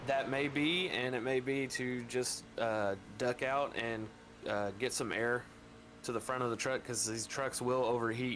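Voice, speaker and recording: A man's medium-pitched voice, fairly slow and fairly even in intonation, with noticeable background noise. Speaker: sim racing commentator. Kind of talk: live commentary.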